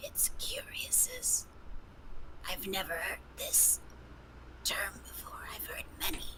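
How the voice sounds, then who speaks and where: A woman whispers in a put-on character voice at a fairly slow pace. She leaves long, frequent pauses, and the background noise is loud. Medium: actual play. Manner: measured, formal, introspective.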